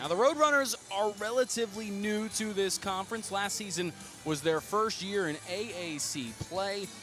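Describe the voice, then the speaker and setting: Over music in the background, a man with a high pitch talks at a moderate pace. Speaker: sports play-by-play broadcaster. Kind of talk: radio play-by-play sports broadcast.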